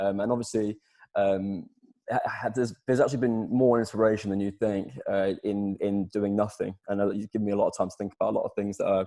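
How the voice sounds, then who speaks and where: A man's fairly low, dark and mellow voice at a very fast pace over a quiet background. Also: fairly even intonation. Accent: East Midlands. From England, Lincolnshire (Sleaford). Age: 20s. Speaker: singer-songwriter. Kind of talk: interview. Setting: video call. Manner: halting, many fillers.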